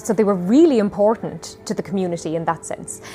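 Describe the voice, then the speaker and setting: The speaker has an Irish accent and lively intonation. The pace is moderate, with music in the background. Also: woman. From Ireland. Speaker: storyteller. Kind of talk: interview answer.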